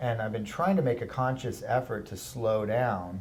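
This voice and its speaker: Somewhat breathy, a man speaks at a medium pitch and moderate pace with ordinary pitch variation, in a room with audible echo. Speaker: art instructor. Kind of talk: tutorial.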